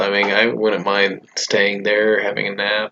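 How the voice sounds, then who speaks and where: A quiet man at a fairly slow pace. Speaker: cartoon episode reviewer. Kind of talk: casual video review. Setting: at home, roommate nearby. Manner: hesitant, with fillers; kept quiet.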